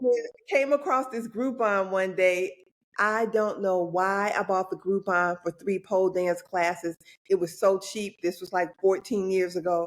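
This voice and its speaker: A woman speaks at a moderate pace with an unremarkable speaking voice. Her pitch is medium, with ordinary pitch variation. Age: 60s. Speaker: pole athlete and yoga coach. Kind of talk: podcast interview.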